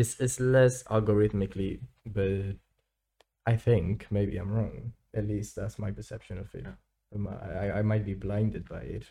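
A man with a fairly low pitch and a dark, mellow, somewhat breathy tone speaks at a moderate pace. His pitch variation is ordinary, while his loudness swings a lot. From Spain. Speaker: student podcast co-host. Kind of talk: casual chat.

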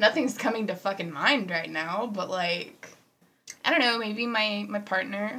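A woman speaks at a fairly slow pace with ordinary pitch variation. She has an ordinary speaking voice, medium in pitch. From Houston, Texas. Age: 20s. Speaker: podcast co-host. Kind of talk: casual chat.

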